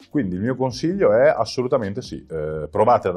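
Faint music can be heard in the background. Over it, a man's speech moves at a fairly quick pace. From Verona, northern Italy; northern Italy. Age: 30s. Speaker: cycling traveller and amputee charity founder; interview guest. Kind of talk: interview. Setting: in person beside host. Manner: halting, many fillers. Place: studio. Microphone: lapel.

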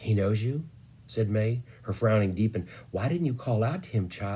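It is plain reading aloud. The pitch varies in an ordinary way.

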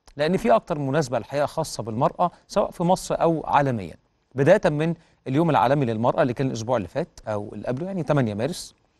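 The background is quiet. A man talks with lively intonation. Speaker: TV presenter. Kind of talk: news show presenting. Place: studio. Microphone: lapel.

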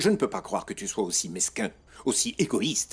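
A man uses a put-on character voice with a husky, rough edge and big pitch swings. His pitch is fairly low and his pace moderate.

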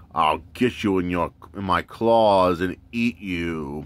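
In a put-on character voice, a man speaks at a very deep, low pitch. His pace is very slow. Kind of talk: playful character voice during toy review. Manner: menacing.

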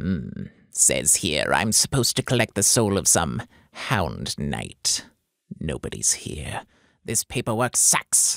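Putting on a character voice, a man talks at a fairly slow pace with a very deep, low pitch. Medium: dub.

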